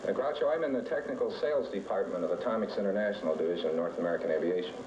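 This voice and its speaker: Audible room echo and noticeable background noise surround the speech. A man talks at a very fast pace with very even loudness. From Massachusetts, Springfield. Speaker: game show contestant. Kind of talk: interview banter.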